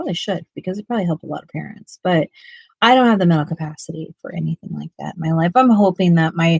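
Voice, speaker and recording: With an American accent, a woman talks at a very fast pace in a fairly low, somewhat breathy voice, her pitch varying ordinarily and her loudness swinging widely, in a dry, close sound with no echo. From US West Coast (Ventura County, California). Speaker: art YouTuber. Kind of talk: casual livestream chat. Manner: halting, many fillers.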